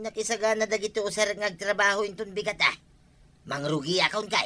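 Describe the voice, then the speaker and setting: The speaker uses a put-on character voice with a fairly high pitch and a fairly quick pace. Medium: audio drama. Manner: bright, upbeat.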